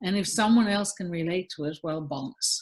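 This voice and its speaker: A woman's voice is somewhat breathy, with ordinary pitch variation. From Newfoundland, Canada. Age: 50s. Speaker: singer-songwriter and visual artist. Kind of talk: podcast interview. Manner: animated, repeats words often.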